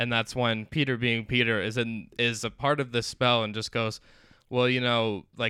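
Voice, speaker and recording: With flat, monotone intonation, a man talks at a medium pitch. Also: moderate pace. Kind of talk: casual chat.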